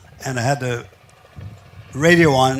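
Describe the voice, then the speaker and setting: Fairly even intonation marks this man's medium-pitched voice, with noticeable background noise in the recording. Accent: American. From Philadelphia, US Northeast. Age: 90s. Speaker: war veteran. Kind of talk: interview.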